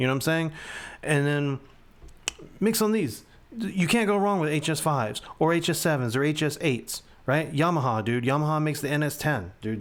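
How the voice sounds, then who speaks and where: This man has a fairly high pitch and an animated tone, with lively intonation. He talks at a moderate pace, and his loudness stays very even. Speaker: music producer. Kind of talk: tutorial.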